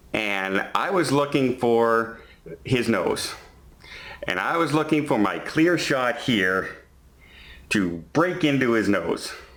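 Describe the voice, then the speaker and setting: A man's voice at a very slow pace, with lively intonation, very even loudness, long and frequent pauses, and audible room echo. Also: medium pitch for a man. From Canada. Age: 50s. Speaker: vlogger. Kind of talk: storytelling vlog. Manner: halting, self-correcting.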